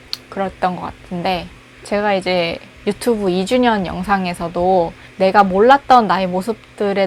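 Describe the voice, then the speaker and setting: Over noticeable background noise, a woman talks at a moderate pace, medium in pitch with ordinary pitch variation. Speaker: recent graduate job seeker. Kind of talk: casual personal monologue to camera. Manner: rambling, conversational.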